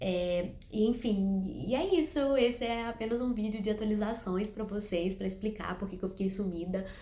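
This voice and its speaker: There is audible room echo as a woman speaks at a moderate pace with hardly any pauses. Her pitch is medium and varies in an ordinary way. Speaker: book youtuber. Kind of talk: casual vlog to camera. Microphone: no microphone, improvised setup.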